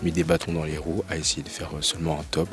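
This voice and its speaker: Amid noticeable background noise, a man speaks at a very deep, low pitch with fairly even intonation. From Paris region, France. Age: 20s. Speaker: business school student. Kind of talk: interview. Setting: school library. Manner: halting, many fillers.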